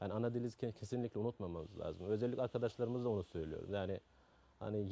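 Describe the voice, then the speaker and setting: A man speaks with a Turkmen accent. His pitch is fairly low. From Afghanistan (Turkmen community). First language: Turkmen (speaking Turkish). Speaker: carpet shop owner. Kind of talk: interview. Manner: halting.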